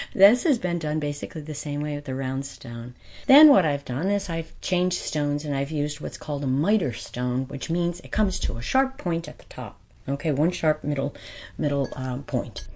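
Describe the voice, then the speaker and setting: At a moderate pace, a woman with a very deep, low pitch and an American accent speaks with ordinary pitch variation. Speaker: glass cutter artisan. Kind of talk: interview conversation.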